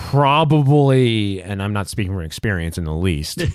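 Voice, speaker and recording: A man at a fairly slow pace, with lively intonation. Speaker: podcast co-host. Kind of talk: casual chat. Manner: slow, halting.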